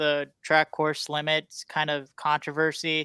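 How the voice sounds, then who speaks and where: With an Ohio accent, a woman speaks in a very deep, low voice, captured dry and close with no echo on a very clean recording with a silent background. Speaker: racing podcast co-host. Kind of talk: casual chat.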